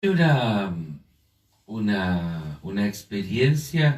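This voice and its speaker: Somewhat breathy, a man speaks at a fairly low pitch. His intonation is lively. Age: 50s. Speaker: panelist in church discussion. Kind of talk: online panel discussion. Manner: animated storytelling.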